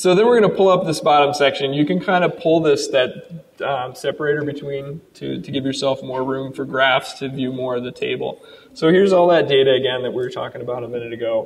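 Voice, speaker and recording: Against noticeable background noise, a man with a fairly high pitch and ordinary pitch variation talks at a fairly quick pace. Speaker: software developer presenting product. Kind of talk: live product demo presentation. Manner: fast; casual with many fillers.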